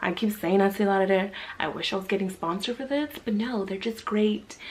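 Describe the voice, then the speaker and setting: Noticeable background noise runs under this recording. A woman speaks at medium pitch and a fairly quick pace, with ordinary pitch variation. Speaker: beauty vlogger. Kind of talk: casual chat while doing makeup. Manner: casual, filler-heavy.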